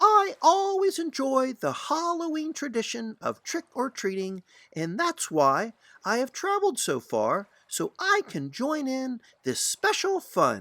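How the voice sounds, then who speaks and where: A man's put-on character voice, extremely high in pitch, at a fairly slow pace. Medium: read story. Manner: earnest, friendly.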